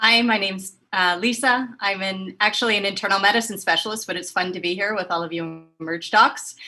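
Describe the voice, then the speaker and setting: A normal speaking voice, fairly quick, with fairly even intonation and hardly any pauses. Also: woman, medium pitch for a woman. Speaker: physician. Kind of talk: self-introduction on panel.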